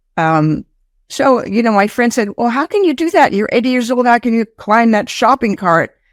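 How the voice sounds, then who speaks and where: Dry and close with no echo, a very clean recording with a silent background captures a woman. Her pitch is fairly high and her pace moderate. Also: very even loudness. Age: 80s+. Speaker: comedy performer. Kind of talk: interview. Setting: studio.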